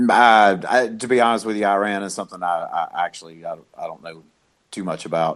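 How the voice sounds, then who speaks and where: With a Southern US accent, a man talks at a fairly quick pace and a fairly low pitch. His pitch variation is ordinary, and his loudness swings widely. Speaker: regular podcast guest. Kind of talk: casual political discussion.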